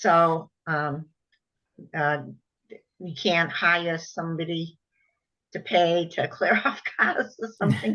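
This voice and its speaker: In a bright, sharp tone, the voice moves at a very slow pace with long, frequent pauses and ordinary pitch variation. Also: woman, fairly low pitch for a woman. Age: 70s. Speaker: prospective tenant. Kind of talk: Q&A session.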